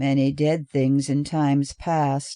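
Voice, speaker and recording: A put-on character voice, low-to-middle in pitch, fairly slow and monotone with flat intonation. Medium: read story.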